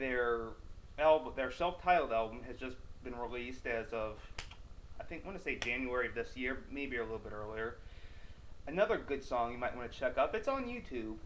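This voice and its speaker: A man at a fairly quick pace, with long, frequent pauses, big swings in loudness, and audible room echo. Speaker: metal news video host. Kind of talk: casual video monologue. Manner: excited, energetic.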